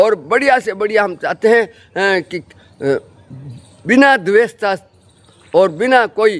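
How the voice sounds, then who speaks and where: A man speaks with a high pitch and ordinary pitch variation. He leaves long, frequent pauses. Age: 70s. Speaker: local journalist. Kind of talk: direct-to-camera address. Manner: halting, many fillers.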